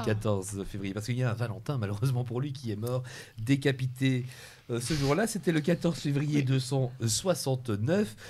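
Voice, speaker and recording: In a very clean recording with a silent background, a man speaks at a medium pitch, somewhat breathy, with lively intonation. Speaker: TV show host. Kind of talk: TV quiz hosting.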